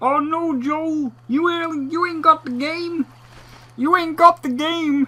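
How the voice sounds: At a fairly slow pace, a high, nasal put-on character voice speaks.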